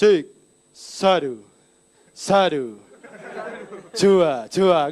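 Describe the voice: A man puts on a sing-song character voice with a high pitch.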